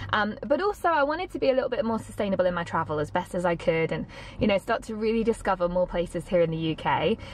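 A woman talks at a very fast pace in a dry sound with no echo. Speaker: travel vlogger. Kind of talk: casual vlog chat. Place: car. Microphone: phone near.

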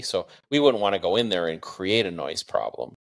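Over a quiet background, a man speaks in a fairly low pitch with ordinary pitch variation. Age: 50s. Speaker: bitcoin mining executive; podcast guest. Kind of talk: interview. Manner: hesitant fillers. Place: home room. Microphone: studio mic.

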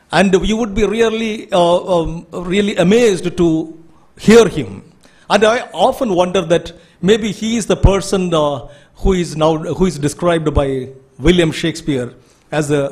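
Against a quiet background, a man talks at a moderate pace with a high pitch and ordinary pitch variation. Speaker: speaker. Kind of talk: formal introductory speech. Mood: admiring, ceremonial. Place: hall. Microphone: podium.

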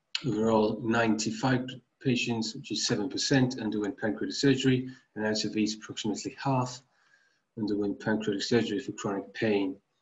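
A man's voice comes across somewhat breathy. His intonation stays fairly even. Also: medium pitch for a man, moderate pace. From Finland, Tampere. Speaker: medical researcher. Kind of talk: conference presentation. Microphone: webcam.

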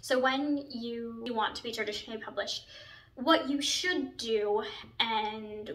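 This woman's high voice moves at a fairly slow pace with ordinary pitch variation. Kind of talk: casual vlog chat. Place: home room. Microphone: camera far.

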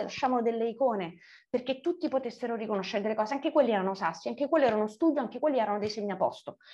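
Over a quiet background, a woman's high-pitched voice carries a dark, mellow tone and ordinary pitch variation. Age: 40s. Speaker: writer; interviewee. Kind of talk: interview. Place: home room. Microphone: video call.

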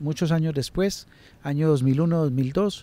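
The man's voice has a dark, mellow tone and ordinary pitch variation, heard in a dry sound with no echo. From Colombia, Antioquia (Medellín, Itagüí); Antioquia, Colombia. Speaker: social scientist, truth commission coordinator; interviewee. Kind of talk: online lecture and conversation; interview answer. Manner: halting, many fillers and repetitions. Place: garden. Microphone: handheld.

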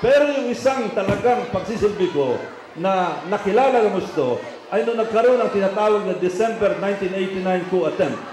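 A high-pitched man with a Filipino accent speaks at a moderate pace in an animated tone with lively intonation. Audible room echo and noticeable background noise surround him. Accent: Filipino English and Tagalog. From Philippines. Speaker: politician. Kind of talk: rally speech. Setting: outdoor rally with audience and slides. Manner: proud, boastful, animated; campaign-style slideshow narration, direct to crowd. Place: stage.

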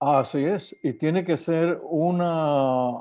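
This man's voice sits fairly high and has a dark, mellow tone. His pitch varies in an ordinary way against a quiet background. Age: 70s. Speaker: physician; guest. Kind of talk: interview. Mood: earnest, concerned.

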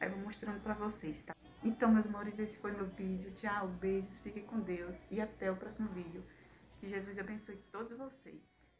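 A woman speaks at a moderate pace in a flat, monotone way, with light background noise. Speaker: new mother vlogger. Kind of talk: casual vlog chat. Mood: warm, grateful. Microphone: phone near.

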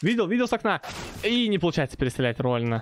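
A man at a very fast pace, very wide pitch swings, dry, close sound with no echo. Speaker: esports caster. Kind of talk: live sports commentary.

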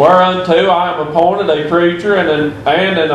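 Over light background noise, a man talks at a moderate pace with audible room echo. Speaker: preacher. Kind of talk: sermon. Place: church.

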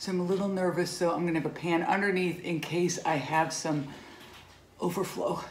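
A woman speaks at a moderate pace. The room echo is audible. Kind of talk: casual cooking tutorial. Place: kitchen. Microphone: phone near.

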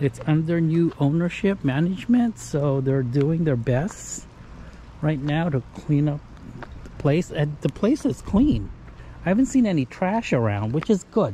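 A man speaks at a fairly slow pace with lively intonation. The sound is dry with no echo, with light background noise. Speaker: RV travel vlogger. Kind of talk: casual vlog chat. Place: street. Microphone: phone near.

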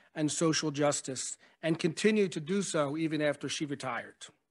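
The background stays quiet. A man's voice is heard. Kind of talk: memorial speech. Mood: warm, reflective. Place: hall. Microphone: podium.

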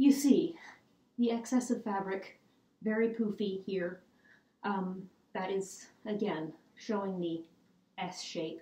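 A very slow pace with long, frequent pauses, ordinary pitch variation, a dark, mellow, somewhat breathy tone and audible room echo. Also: woman. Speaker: historical fashion presenter. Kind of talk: casual talk to camera. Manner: hesitant, casual with fillers. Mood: cheerful, amused. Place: home room. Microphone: camera far.

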